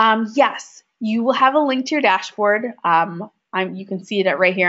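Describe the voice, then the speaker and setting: Speaking with a Minnesotan accent, a woman uses a medium pitch and lively intonation. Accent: Minnesota. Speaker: software trainer. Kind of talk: webinar tutorial.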